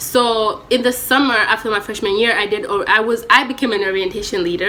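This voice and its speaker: Over noticeable background noise, a woman speaks at a fairly quick pace in a fairly high pitch with fairly even intonation. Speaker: college student vlogger. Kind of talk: casual vlog story time. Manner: loud.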